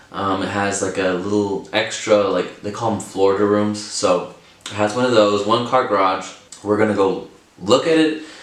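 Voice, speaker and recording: There is audible room echo and noticeable background noise. Through it, a man with a fairly low pitch speaks with ordinary pitch variation. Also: moderate pace. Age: 20s. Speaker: vlogger, first-time home buyer. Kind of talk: casual vlog talk to camera. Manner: casual, filler-heavy with repetitions.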